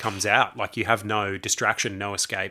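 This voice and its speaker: A man talks with an Australian accent at fairly low pitch. His tone is bright and sharp, and his pace moderate. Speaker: podcast co-host. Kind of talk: casual chat.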